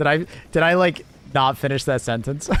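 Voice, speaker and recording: Through noticeable background noise, a man speaks at a fairly slow pace with a medium pitch. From Canada. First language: not English. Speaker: gaming streamer. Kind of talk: live gameplay stream chat. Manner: halting, trails off mid-sentence; casual, animated.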